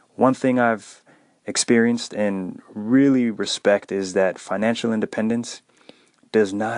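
Speaking at a fairly slow pace with fairly even intonation, the man has a fairly low pitch and an unremarkable speaking voice. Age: 30s. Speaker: personal finance podcast host. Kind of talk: solo podcast monologue.

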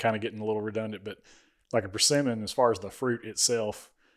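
The speech comes very fast, in an Alabama accent. The recording is very clean with a silent background. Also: man. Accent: Southern US (Alabama). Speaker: podcast host. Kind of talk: casual chat.

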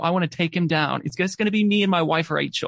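Speaking at a very fast pace with an Australian accent, a man shows ordinary pitch variation. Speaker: podcast host. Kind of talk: casual chat.

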